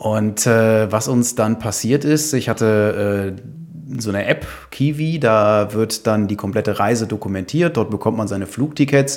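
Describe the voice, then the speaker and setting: A man talks in a plain, everyday voice at a fairly slow pace. His pitch is medium, with ordinary pitch variation. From Düsseldorf, western Germany. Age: 30s. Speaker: hiker and traveller, mechanical engineer. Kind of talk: casual interview chat. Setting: in a living room at home, in person.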